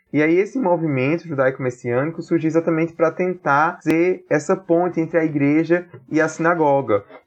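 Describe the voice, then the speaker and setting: In a normal speaking voice, a man talks at a fairly quick pace with hardly any pauses. His pitch is fairly high, with ordinary variation and very even loudness. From Brazil, Paraíba (Campina Grande). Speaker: author and political science doctoral student. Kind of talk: interview.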